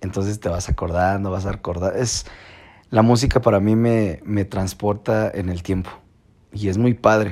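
A fairly low-pitched man in a Mexican accent, on a very clean recording with a silent background. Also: moderate pace. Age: 20s. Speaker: podcaster. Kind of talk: casual monologue. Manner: informal.

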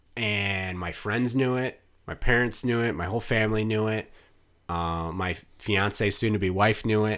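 In a plain, everyday voice with an American accent, a man speaks at a moderate pace with fairly low pitch and fairly even intonation, on a very clean recording with a silent background. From Wisconsin, Mukwonago near Milwaukee. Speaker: PR and marketing consultant. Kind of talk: casual interview chat.

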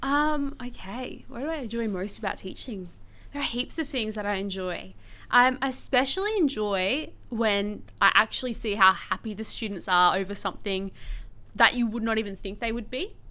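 Her tone bright and sharp, a woman speaks at a moderate pace in a fairly high pitch with ordinary pitch variation. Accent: Australian. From Australia, Brisbane. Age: 20s. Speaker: teacher. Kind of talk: interview.

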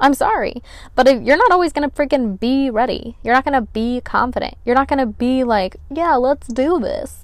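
A woman's high-pitched, animated voice at a moderate pace, with ordinary pitch variation. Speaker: podcast host. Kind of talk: solo podcast monologue. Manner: casual, animated.

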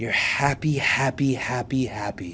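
A man with a medium pitch talks as noticeable noise fills the background. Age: 50s. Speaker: chiropractor and podcast host. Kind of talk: motivational talk with guided meditation. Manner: soothing guided meditation delivery.

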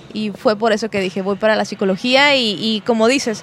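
A woman at a moderate pace with fairly even intonation, noticeable background noise behind her. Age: 30s. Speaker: psychologist and speaker. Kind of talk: podcast interview. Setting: brewery venue.

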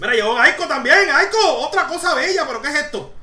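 An animated woman with a Puerto Rican accent, amid audible room echo and noticeable background noise. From Puerto Rico. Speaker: podcast host. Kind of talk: casual chat.

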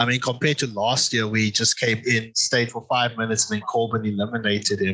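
Over noticeable background noise, a man talks fairly quickly in a flat monotone with hardly any pauses. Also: medium pitch for a man. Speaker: podcast co-host. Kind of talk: casual podcast chat reviewing wrestling.

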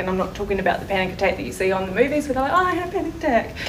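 A woman with a New Zealand accent, amid noticeable background noise and audible room echo. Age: 30s. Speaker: mental wellness group member. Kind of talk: testimony. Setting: community event with audience.

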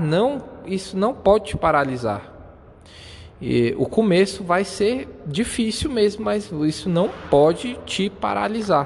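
A man speaks in a high pitch with a Brazilian accent, his pitch swinging very widely. Background noise is noticeable. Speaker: podcaster. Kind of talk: motivational monologue. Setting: outdoors.

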